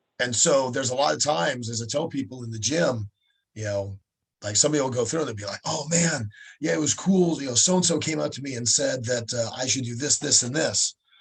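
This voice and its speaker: On a very clean recording with a silent background, a somewhat breathy man at a medium pitch speaks very fast with lively intonation. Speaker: fight promoter and coach. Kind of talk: casual interview. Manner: halting, many fillers.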